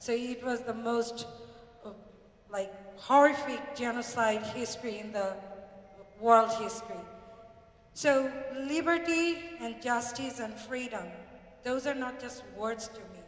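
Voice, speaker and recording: A woman with a Bengali accent and a high pitch speaks at a fairly slow pace with ordinary pitch variation, big swings in loudness and long, frequent pauses, while audible room echo and noticeable background noise fill the recording. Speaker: community speaker. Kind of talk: public speech.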